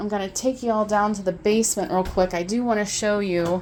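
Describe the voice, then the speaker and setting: The woman's voice comes through a very clean recording with a silent background. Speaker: auctioneer. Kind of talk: casual walkthrough video to camera. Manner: friendly, chatty.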